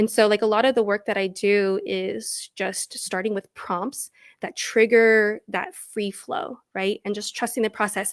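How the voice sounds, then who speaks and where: With a non-native accent and fairly even intonation, the speaker moves at a fairly slow pace with hardly any pauses, on a very clean recording with a silent background and a dry, close sound with no echo. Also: woman, fairly high pitch for a woman. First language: not English. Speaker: storytelling coach and former teacher. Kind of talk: interview conversation.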